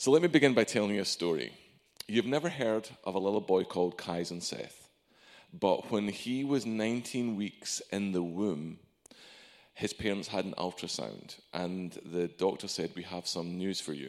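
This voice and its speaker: This is a man with a normal speaking voice, pitched fairly low. He speaks at a moderate pace with lively intonation. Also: very clean recording, silent background. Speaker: preacher. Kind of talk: sermon. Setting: church. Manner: warm, conversational, humorous.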